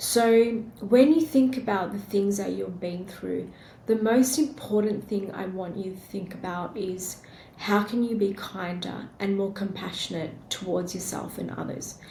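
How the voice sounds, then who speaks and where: Fairly slow speech from a woman with an Australian accent, medium pitch, ordinary pitch variation and big swings in loudness, plus audible room echo and noticeable background noise. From Australia, born in India. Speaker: podcast host. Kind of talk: solo podcast monologue.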